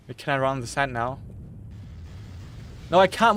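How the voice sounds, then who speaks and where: Very wide pitch swings mark a man's speech in a British accent at a moderate pace. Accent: British-sounding English. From Germany. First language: German. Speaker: gaming streamer. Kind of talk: casual chat while gaming on live stream. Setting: attic bedroom with PC running. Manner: repetitive, stammering restarts.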